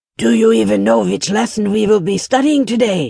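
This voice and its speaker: A put-on character voice at a middle pitch. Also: moderate pace. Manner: cold, impatient.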